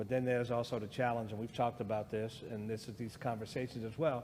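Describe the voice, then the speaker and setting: Audible room echo surrounds a man with an American accent. He speaks at a fairly quick pace with medium pitch. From US. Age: 60s. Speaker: guest speaker on race. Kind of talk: church discussion.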